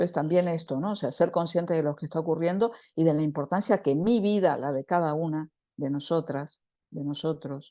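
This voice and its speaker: Against a quiet background, a woman speaks at a moderate pace with a dark, mellow tone and ordinary pitch variation. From Argentina, Buenos Aires. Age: 60s. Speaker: women's circle leader and writer. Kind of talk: spiritual talk to a women's circle. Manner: passionate, with self-corrections.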